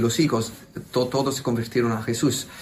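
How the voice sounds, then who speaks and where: The room echo can be heard. A man talks at a medium pitch. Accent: Italian. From southern Italy, Naples. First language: Italian (speaking Spanish). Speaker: priest. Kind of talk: interview. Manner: halting.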